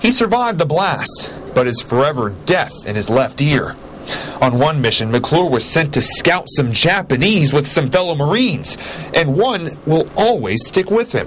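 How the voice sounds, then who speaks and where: Very wide pitch swings from a man at a moderate pace, with noticeable background noise. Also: fairly high pitch for a man. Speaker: TV news reporter. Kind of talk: TV news report narration.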